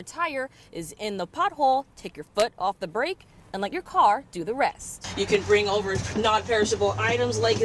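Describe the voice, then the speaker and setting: A woman speaks at a moderate pace with a fairly high pitch. Her pitch swings very widely, and noticeable background noise is present. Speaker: TV news reporter. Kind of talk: TV news report.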